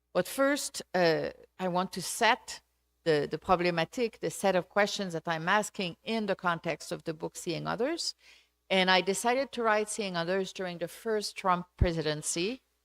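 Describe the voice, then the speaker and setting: A woman with a Quebec accent speaks at a moderate pace in a very clean recording with a silent background. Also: medium pitch for a woman, ordinary pitch variation, dry, close sound with no echo. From Quebec, Canada. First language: French. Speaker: sociology professor. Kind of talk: lecture. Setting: auditorium with audience. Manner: halting.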